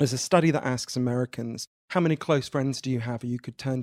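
With a British accent, a man speaks at a very fast pace. The sound is dry and close, with no echo. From Britain. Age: 30s. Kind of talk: interview conversation.

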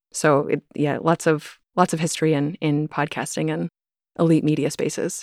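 Very deep and low, with vocal fry and monotone, flat intonation, a woman with an American accent talks at a moderate pace in a dry, close, echo-free sound on a very clean recording with a silent background. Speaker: podcast host and author. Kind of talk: casual interview conversation.

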